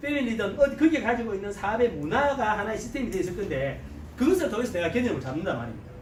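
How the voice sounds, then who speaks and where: Over noticeable background noise, someone talks in an animated tone with a strong Gyeongsang accent. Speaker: network marketing business leader. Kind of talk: seminar lecture.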